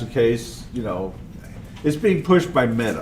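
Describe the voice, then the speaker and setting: Pitch swings very widely as a man talks over noticeable background noise, with the room's echo clearly audible. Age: 70s. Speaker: conference speaker, open source advocate. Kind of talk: conference talk. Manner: animated.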